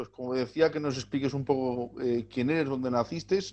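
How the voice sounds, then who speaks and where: At a fairly quick pace, a man talks in a dark, mellow tone with fairly even intonation. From Spain, Gitano community. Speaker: video channel host. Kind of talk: interview.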